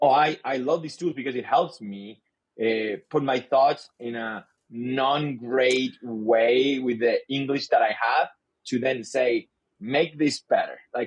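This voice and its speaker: Speaking with a Spanish accent, a man goes at a very slow pace. His medium pitch shows ordinary variation. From Chile. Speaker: sales leader. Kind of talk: podcast interview. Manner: halting, repeats words.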